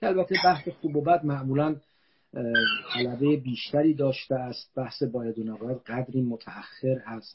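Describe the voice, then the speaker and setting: Moderate pace from a man at medium pitch, with ordinary pitch variation. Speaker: philosophy professor. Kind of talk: lecture. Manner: formal; soft-spoken.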